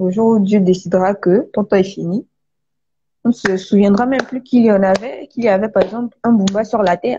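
A woman talks at a moderate pace. Her tone is dark and mellow, and somewhat breathy. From Gabon. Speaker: author. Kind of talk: live stream interview. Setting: online live video call. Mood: earnest, calm. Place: home room. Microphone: video call.

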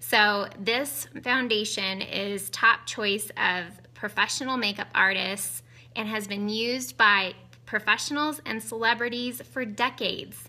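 With a bright, sharp tone, a woman speaks at a fairly high pitch. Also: ordinary pitch variation, fairly slow pace. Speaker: beauty consultant. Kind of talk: casual live makeup demo. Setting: live video stream at home. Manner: chatty, upbeat, excitable. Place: home room. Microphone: phone near.

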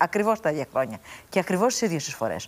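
Her pitch swinging very widely around a medium level, a woman talks at a fairly quick pace with vocal fry. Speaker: politician, member of European Parliament; politician. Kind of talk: political debate. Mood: assertive, argumentative. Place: studio. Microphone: lapel.

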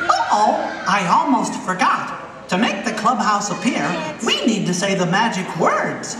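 The speaker uses a put-on character voice at a fairly high pitch and a moderate pace. A clear echo and loud background noise fill the recording. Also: female-sounding voice. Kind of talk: children's stage show. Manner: upbeat, friendly, says gosh and swell.

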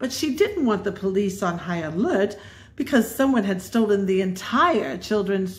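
A passage is read aloud. The delivery sounds natural.

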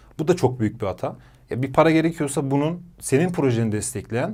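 On a very clean recording with a silent background, a man with a normal speaking voice talks at a fairly quick pace and medium pitch. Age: 30s. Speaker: entrepreneur. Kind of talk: interview.

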